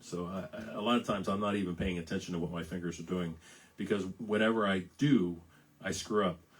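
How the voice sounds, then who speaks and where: A raspy, fairly low male voice with an American accent, at a fairly quick pace. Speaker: singer-songwriter. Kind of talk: casual live-stream chat between songs. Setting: Facebook live stream. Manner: halting, many fillers and repeats.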